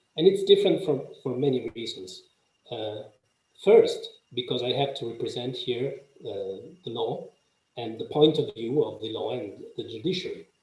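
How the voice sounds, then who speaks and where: Speaking at a moderate pace, a man shows big swings in loudness and long, frequent pauses, with audible room echo. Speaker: legal professional speaking on aviation justice. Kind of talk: conference presentation. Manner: halting, many fillers.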